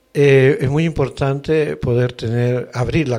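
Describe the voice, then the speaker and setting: A man with a dark, mellow tone talks at a fairly slow pace with ordinary pitch variation. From northern Chile, Antofagasta. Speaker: actor and seminar teacher. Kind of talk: interview. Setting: studio.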